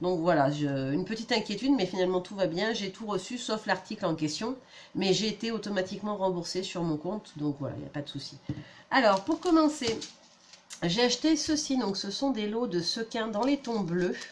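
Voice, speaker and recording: Her medium pitch swinging very widely, a woman speaks. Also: moderate pace. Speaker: scrapbooking youtuber. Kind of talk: product haul review. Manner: casual, hesitant with fillers.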